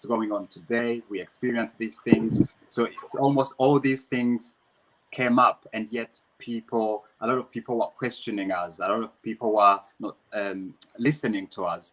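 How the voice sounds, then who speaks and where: Recorded with a dry, close sound and no echo, a man speaks in a Rwandan accent. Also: medium pitch for a man, ordinary pitch variation, moderate pace, big swings in loudness. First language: Kinyarwanda. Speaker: dancer and dance teacher. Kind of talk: interview. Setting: live online Q&A. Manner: halting, many repetitions.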